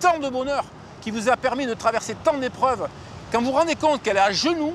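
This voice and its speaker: Over noticeable background noise, a man speaks at a very fast pace with an extremely high pitch and ordinary pitch variation. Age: 60s. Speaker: environmental activist. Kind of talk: testimony.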